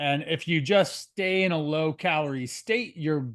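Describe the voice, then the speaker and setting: Speaking in an unremarkable speaking voice, a man keeps a fairly high pitch with ordinary variation. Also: quiet background. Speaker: nutrition and fitness coach. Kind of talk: interview host talk on a video call.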